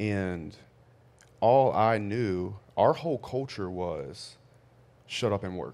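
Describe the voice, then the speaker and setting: A man with a Louisiana accent speaks at a fairly low pitch and a very slow pace, with lively intonation and long, frequent pauses. The recording is very clean, with a silent background. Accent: Southern US (Louisiana). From US South, Louisiana. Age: 30s. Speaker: real estate and construction entrepreneur. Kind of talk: casual chat.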